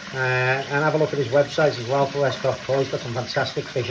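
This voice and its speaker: Noticeable background noise sits beneath speech delivered at a very fast pace. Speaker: koi keeper. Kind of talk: casual video update. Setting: garage. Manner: hesitant, many fillers; loud, shouting over pump.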